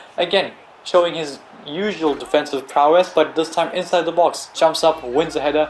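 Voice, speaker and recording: A moderate pace amid noticeable background noise. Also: man. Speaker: video game youtuber. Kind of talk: gameplay commentary. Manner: soft-spoken, quiet.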